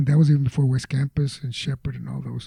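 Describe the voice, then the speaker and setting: The voice has a dark, mellow tone, somewhat breathy, with an American accent. It moves at a fairly quick pace in a dry, close sound with no echo. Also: man. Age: 70s. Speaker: retired teacher and Vietnam veteran. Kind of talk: interview answer.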